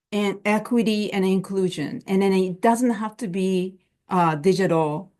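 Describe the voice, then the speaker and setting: Over a quiet background, a woman with a non-native accent speaks at a very slow pace and a medium pitch, using ordinary pitch variation. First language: not English. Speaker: plain language and immigrant services expert. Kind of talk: webinar panel talk. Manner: halting, many fillers and restarts.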